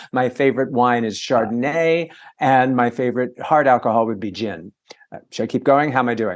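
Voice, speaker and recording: This man has an ordinary speaking voice at a medium pitch with ordinary pitch variation. He talks at a fairly quick pace. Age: 60s. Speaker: entertainment reporter and author. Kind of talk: casual interview chat. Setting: video call. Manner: fast.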